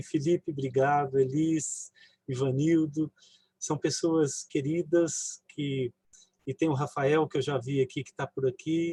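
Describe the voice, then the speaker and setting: A man's fairly high, somewhat breathy voice, dark and mellow in tone, with fairly even intonation and a dry, close sound with no echo. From interior of São Paulo state, Brazil (near southern Minas Gerais). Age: 60s. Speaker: physician and family caregiver. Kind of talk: personal testimony in a live online talk.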